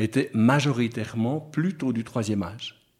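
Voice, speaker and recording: Very slow speech from a man, his pitch varying in an ordinary way. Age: 60s. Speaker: retired pastor. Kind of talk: radio interview. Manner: halting.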